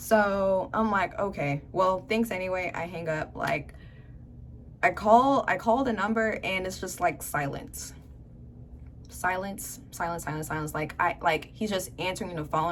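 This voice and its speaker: A woman's fairly low-pitched voice with vocal fry, ordinary pitch variation and a fairly slow pace. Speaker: youtuber. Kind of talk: story time. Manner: animated.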